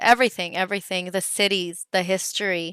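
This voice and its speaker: On a very clean recording with a silent background and a dry, close sound with no echo, a woman of medium pitch speaks with a bright, sharp tone and fairly even intonation. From California, US (Santa Rosa). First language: Spanish. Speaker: singer. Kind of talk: live Q&A chat with fans. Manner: casual, hesitant with many fillers.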